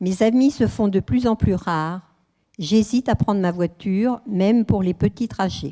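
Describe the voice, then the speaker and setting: The woman speaks at a medium pitch with a dark, mellow tone, recorded very cleanly with a silent background and a dry, close sound with no echo. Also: ordinary pitch variation, fairly slow pace. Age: 80s+. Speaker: elderly widow giving testimony. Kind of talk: testimony.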